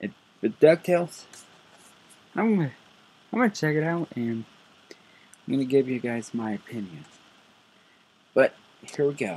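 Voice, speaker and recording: Pausing long and often, a man with a fairly high voice speaks at a moderate pace, his pitch swinging very widely. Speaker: YouTuber doing reaction videos. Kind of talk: casual reaction video. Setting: at home at night. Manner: quiet, low volume; halting, many fillers and restarts. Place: home room. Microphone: webcam.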